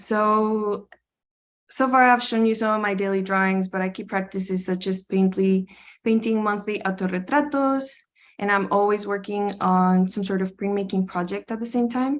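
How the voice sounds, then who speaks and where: A woman with a Spanish accent speaks in a fairly even intonation. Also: medium pitch for a woman, moderate pace, very clean recording, silent background. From Costa Rica. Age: 20s. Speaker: art student. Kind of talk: presentation.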